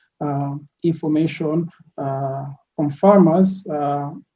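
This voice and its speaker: A dark, mellow voice, somewhat breathy, speaking with a monotone, flat intonation. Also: man. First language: French. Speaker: product designer, entrepreneur. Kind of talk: podcast interview. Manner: hesitant, many fillers.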